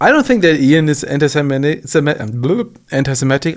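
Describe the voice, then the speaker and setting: With a German accent and ordinary pitch variation, a man speaks in a very clean recording with a silent background. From Germany. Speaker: commentary youtuber. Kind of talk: reaction commentary. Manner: halting, many false starts and fillers.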